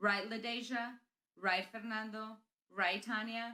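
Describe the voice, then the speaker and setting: Her pitch fairly high, a woman speaks in a Spanish accent. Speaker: school principal. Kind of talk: graduation speech.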